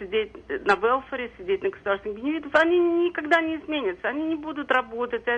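A woman is speaking. Her pitch swings very widely. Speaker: caller, social services worker. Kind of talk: call-in comment. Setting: phone call.

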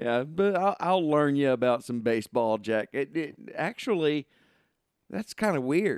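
In a Southern US accent, a man talks at a fairly slow pace with very wide pitch swings, the sound dry and close with no echo. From southern Arkansas. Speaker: sports podcast host. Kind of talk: casual chat.

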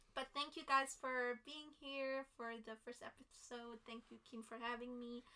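A woman speaks at a high pitch and a fairly slow pace, in a flat monotone with hardly any pauses. Her loudness swings widely, and there is noticeable background noise. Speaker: sister guest. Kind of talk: casual chat.

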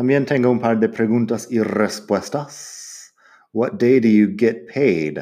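A man with an English accent speaks very slowly at a medium pitch, with ordinary pitch variation. His tone is dark and mellow, and the background is quiet. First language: English (speaking Spanish). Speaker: English teacher podcaster. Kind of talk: language lesson.

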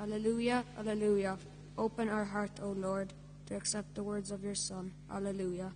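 A woman speaks in a monotone, flat intonation. Noticeable background noise can be heard. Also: medium pitch for a woman, moderate pace. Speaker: scripture reader at Mass. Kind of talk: reading aloud.

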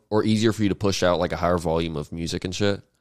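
Speaking at a very fast pace, a man keeps a low pitch and fairly even intonation.

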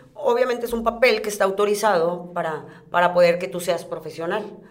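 A woman's medium-pitched voice, with ordinary pitch variation, comes through noticeable background noise and audible room echo. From Reynosa, Tamaulipas, Mexico. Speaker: professional wrestler. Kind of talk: casual interview.

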